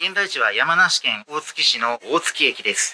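Very wide pitch swings from a man at a fairly slow pace, with light background noise. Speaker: travel vlogger. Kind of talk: casual vlog chat. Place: station. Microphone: phone near.

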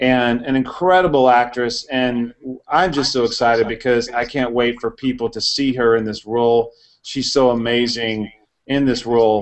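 With an American accent and an ordinary speaking voice, a man talks at a moderate pace and medium pitch with fairly even intonation. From Houston, Texas. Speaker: indie film producer. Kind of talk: casual panel discussion.

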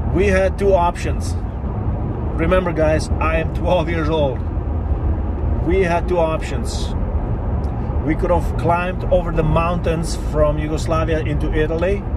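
Amid loud background noise, a man speaks at a fairly slow pace with long, frequent pauses. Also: dry sound with no echo. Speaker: vlogger telling his life story. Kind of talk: casual vlog storytelling. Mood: reflective, serious. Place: car. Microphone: phone near.

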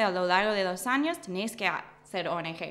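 A woman speaks with an English accent. Her intonation is lively. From US Midwest, Michigan. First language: English (speaking Spanish). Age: 20s. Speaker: political scientist, doctoral student; guest. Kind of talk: interview. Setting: studio. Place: studio. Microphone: studio mic.

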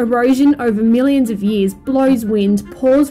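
A woman speaks at a fairly high pitch and a fairly slow pace, her tone dark and mellow with ordinary pitch variation. Faint music plays in the background.

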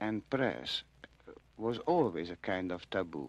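A man talks at a very slow pace, and the sound is dry with no echo. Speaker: radio interviewee. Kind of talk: interview answer. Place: studio. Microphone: old recording.

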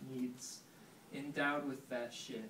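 A man speaks with audible room echo around him. Light background noise is present. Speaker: poet. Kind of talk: poetry reading. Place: shop. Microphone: camera far.

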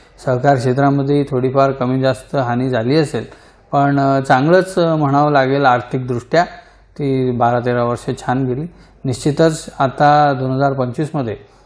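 With a plain, everyday voice, a man talks at medium pitch using fairly even intonation. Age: 40s. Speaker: cooperative bank chairman. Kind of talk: interview.

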